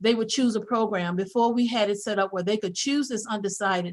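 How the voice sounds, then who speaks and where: Against a quiet background, a woman talks with a fairly high pitch. Her intonation stays fairly even. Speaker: college administrator. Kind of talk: board meeting report. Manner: fast.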